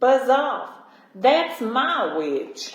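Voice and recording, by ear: Putting on a character voice, a woman growls in a croaky, shrill, high voice with a slight echo.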